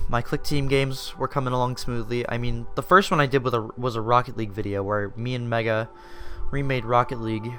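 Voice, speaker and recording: With music in the background, the speech moves at a fairly quick pace with ordinary pitch variation. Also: man. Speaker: YouTuber and indie game developer. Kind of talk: personal storytelling monologue. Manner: casual, filler-heavy with false starts.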